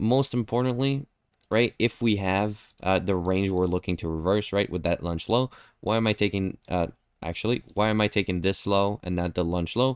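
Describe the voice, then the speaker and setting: A man with a non-native accent and a very deep, low pitch, in a dry, close sound with no echo and a very clean recording with a silent background. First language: not English. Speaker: trading educator. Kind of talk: live stream chart review. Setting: live stream with chat. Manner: casual, conversational.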